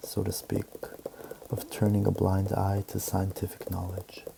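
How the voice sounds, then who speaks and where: A soft-spoken man talks at a fairly slow pace in a fairly low pitch. Noticeable background noise runs behind him. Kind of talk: ASMR book reading.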